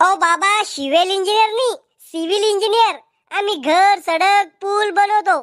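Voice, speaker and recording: A woman's cartoonish character voice at an extremely high pitch and a fairly slow pace. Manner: prim, self-assured.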